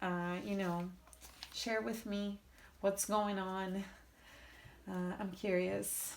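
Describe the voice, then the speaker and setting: Room echo is audible as a woman talks at a very slow tempo. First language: Portuguese. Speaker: tarot reader. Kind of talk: tarot reading. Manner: halting.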